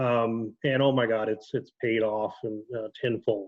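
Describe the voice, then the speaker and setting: With an Ohio accent, a man talks at medium pitch with fairly even intonation. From Ohio, Dayton area. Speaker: former police officer, fraud investigator. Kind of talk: casual chat.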